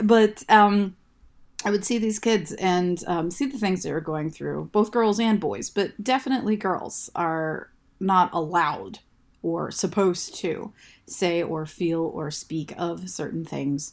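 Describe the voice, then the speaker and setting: On a very clean recording with a silent background, a woman with an American accent speaks slowly-ish at a fairly slow pace, her fairly low pitch showing ordinary variation. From US Midwest, Ohio. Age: 40s. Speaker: young adult author. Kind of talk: casual interview chat. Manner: loud, outspoken.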